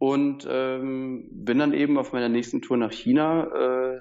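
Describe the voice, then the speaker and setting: A man talks at a medium pitch with ordinary pitch variation in an unremarkable speaking voice. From southern Germany. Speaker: surfboard dealer. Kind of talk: interview. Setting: Skype call.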